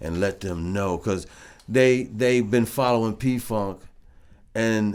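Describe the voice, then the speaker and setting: With an American accent, a man speaks at a very slow pace and fairly low pitch, using ordinary pitch variation and long, frequent pauses on a very clean recording with a silent background. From Flint, Michigan, US. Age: 60s. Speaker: funk bassist and vocalist. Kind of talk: casual interview chat. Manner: laid-back, many filler phrases.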